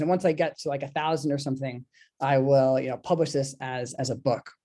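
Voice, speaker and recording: At a fairly quick pace, a man speaks with a dark, mellow tone. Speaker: artist and book designer. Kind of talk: online presentation. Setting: video call. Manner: fast.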